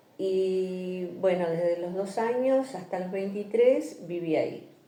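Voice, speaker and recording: With audible room echo and noticeable background noise, a woman at medium pitch speaks at a very slow pace, with ordinary pitch variation. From Argentina, Entre Ríos province (rural). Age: 70s. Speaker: interviewee sharing life story. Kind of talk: oral history interview.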